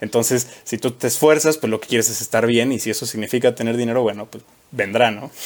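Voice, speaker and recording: Talking at a very fast pace in a central Mexican accent, a man keeps a medium pitch and fairly even intonation. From Mexico, Querétaro. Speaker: chemical engineer at a safety consulting firm. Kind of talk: casual chat.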